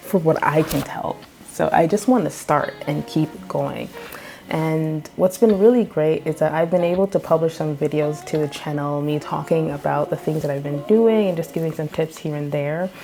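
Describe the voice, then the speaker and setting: A soft-spoken woman's very deep, low voice with ordinary pitch variation and music in the background. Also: moderate pace. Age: 30s. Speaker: children's book illustrator and artist. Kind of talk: casual vlog update.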